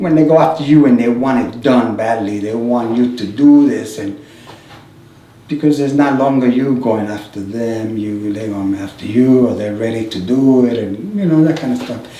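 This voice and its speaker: At a moderate pace, a man with a medium pitch and ordinary pitch variation speaks amid noticeable background noise and audible room echo. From New York, the Bronx (born Puerto Rico). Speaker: sculptor. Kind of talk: oral history interview.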